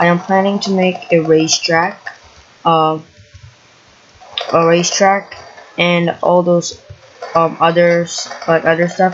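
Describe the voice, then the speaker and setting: Noticeable background noise under speech at a fairly slow pace. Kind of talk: casual gameplay commentary.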